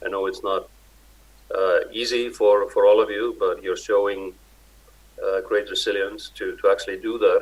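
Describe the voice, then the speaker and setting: At a moderate pace broken by long, frequent pauses, a man speaks with an Icelandic accent. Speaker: Arctic organization director. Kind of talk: conference speech. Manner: halting.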